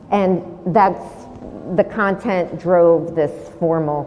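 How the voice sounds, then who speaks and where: Over noticeable background noise and audible room echo, a woman talks very slowly at a fairly low pitch with fairly even intonation. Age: 60s. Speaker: painter and sculptor. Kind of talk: artist talk Q&A.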